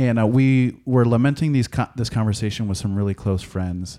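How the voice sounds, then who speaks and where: This man has an American accent and a dark, mellow tone. The recording is very clean, with a silent background. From US Midwest, small-town Wisconsin. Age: 30s. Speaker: pastor. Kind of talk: casual interview conversation.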